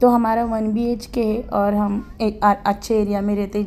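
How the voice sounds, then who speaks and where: A woman's dark, mellow tone sits at a medium pitch, her intonation monotone and flat. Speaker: vlogger. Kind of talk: casual vlog talk.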